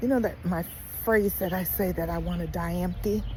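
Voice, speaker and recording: Room echo can be heard around the voice. A woman keeps a moderate speed. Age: 60s. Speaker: lifestyle vlogger. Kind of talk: casual vlog monologue. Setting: outdoors, walking. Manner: conversational, rambling with fillers.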